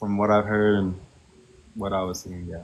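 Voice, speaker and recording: A soft-spoken man talks at a fairly quick pace, his voice fairly low. Room echo is audible. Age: 30s. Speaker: reality TV contestant. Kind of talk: casual chat. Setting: TikTok live stream. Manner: laid back.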